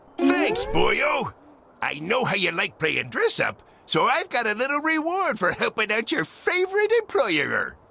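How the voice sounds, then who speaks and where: A man speaks in a gruff, put-on character voice at a moderate pace, with clear music playing in the background. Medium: video game. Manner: gruff, pirate-flavored speech.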